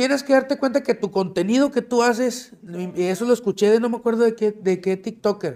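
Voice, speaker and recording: A man's high-pitched voice with a dark, mellow tone and lively intonation, at a moderate pace over a quiet background. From Monterrey, Mexico; Mexico. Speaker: plus-size model; podcast guest. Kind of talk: casual chat. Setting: studio with live audience. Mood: relaxed, joking, casual slang. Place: studio.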